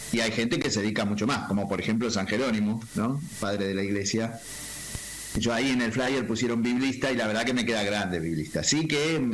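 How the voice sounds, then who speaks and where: Fairly quick speech with ordinary pitch variation and very even loudness, plus noticeable background noise and audible room echo. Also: man, medium pitch for a man. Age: 60s. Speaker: school principal and Bible teacher. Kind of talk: casual chat.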